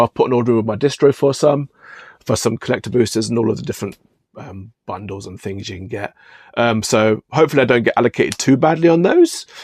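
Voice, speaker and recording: Speaking very fast with a British accent, a man holds a medium pitch. The sound is dry and close with no echo, on a very clean recording with a silent background. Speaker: card shop owner and YouTuber. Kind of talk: casual vlog rant. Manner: hesitant, many ums and repeats.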